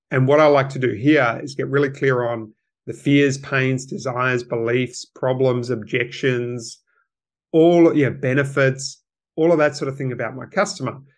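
In an Australian accent, a man speaks at a moderate pace and medium pitch. His intonation stays fairly even, and the background is quiet. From Wollongong, Australia. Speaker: copywriter and email marketer. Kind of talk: casual interview chat.

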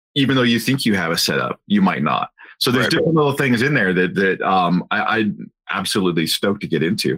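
A man with an American accent, fairly low in pitch with vocal fry and a bright, sharp tone, his pitch swinging very widely at a very fast pace with very even loudness, in a dry, close sound with no echo. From US Northwest. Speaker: podcast host. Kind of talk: interview.

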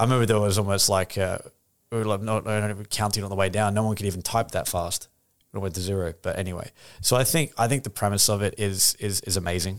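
On a very clean recording with a silent background, a man speaks at a very fast pace with a fairly low pitch. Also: fairly even intonation. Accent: Australian. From Australia. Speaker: crypto company executive. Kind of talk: casual interview.

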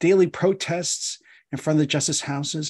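Against a quiet background, a man with an American accent talks at a moderate pace in a plain, everyday voice with ordinary pitch variation. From US Northeast, Philadelphia. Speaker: law professor. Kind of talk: casual interview discussion.

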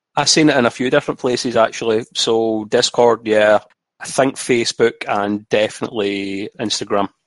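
With a dry, close sound with no echo, a man speaks in a normal speaking voice at medium pitch and a moderate pace. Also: fairly even intonation. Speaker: community member. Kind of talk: casual chat.

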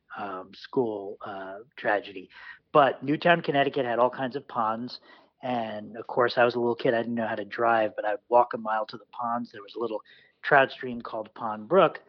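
A man with an American accent speaks at a medium pitch and a moderate pace. His pitch varies in an ordinary way while his loudness swings widely. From New York City. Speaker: fly tier, jazz musician and lawyer. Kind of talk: casual interview.

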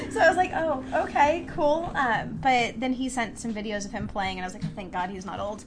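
Against noticeable background noise and audible room echo, a woman at a fairly high pitch talks fairly quickly with very wide pitch swings and hardly any pauses. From San Francisco Bay Area. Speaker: bassist and songwriter in a band. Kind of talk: casual chat.

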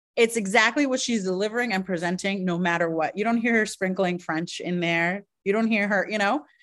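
A normal speaking voice moves at a fairly quick pace with hardly any pauses and ordinary pitch variation over a quiet background. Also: woman, medium pitch for a woman. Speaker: drag queen. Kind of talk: casual chat.

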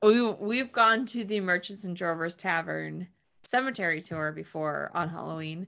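A woman with an American accent speaks at a moderate pace in a fairly low pitch with ordinary pitch variation and a bright, sharp tone. The recording is very clean, with a silent background. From New York State. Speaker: podcast co-host. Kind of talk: casual chat.

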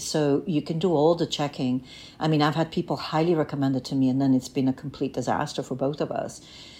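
Speaking at a fairly quick pace, a woman with a very deep, low pitch has a dark, mellow tone and ordinary pitch variation. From Bulgaria. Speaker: production designer. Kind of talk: interview.

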